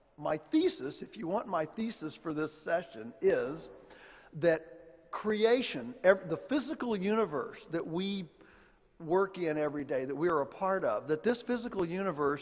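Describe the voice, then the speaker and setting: This man has an American accent, a high pitch and lively intonation. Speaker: farmer and author, conference speaker. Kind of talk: lecture. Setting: stage with audience. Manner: deliberately slow; halting, many restarts.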